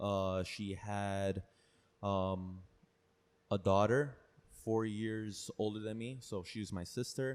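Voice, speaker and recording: In a very clean recording with a silent background, a man with a Spanish accent speaks very slowly in a fairly low pitch with fairly even intonation. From Paterson, New Jersey, US (early childhood in Peru). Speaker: personal trainer. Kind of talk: podcast interview. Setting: trainer's own space.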